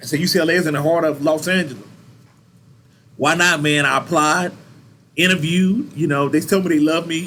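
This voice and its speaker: Animated and bright with a sharp tone, a man talks at a fairly quick pace with very even loudness but long, frequent pauses. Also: fairly high pitch for a man. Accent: Southern US. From Louisiana and Texas (Baton Rouge, then Texas). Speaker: university recreation supervisor. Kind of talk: interview, casual storytelling.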